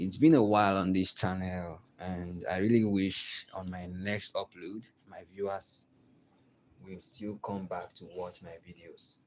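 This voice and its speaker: A man with a Nigerian accent speaks at a fairly slow pace in a very deep, low pitch, with fairly even intonation and big swings in loudness. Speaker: artist. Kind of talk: tutorial. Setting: live stream.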